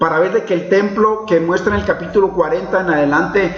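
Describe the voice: Plain reading aloud with ordinary pitch variation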